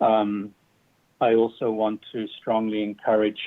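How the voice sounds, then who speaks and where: The speaker has a strong British accent and monotone, flat intonation. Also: man. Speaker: public commenter, community football club founder. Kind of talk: public comment at government meeting. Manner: halting, many fillers.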